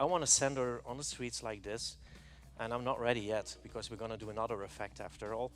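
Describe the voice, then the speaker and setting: A man with a non-native accent and a medium pitch, animated in tone at a moderate pace. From Belgium. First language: not English. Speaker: hairstylist. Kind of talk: live stage demonstration. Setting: stage with audience.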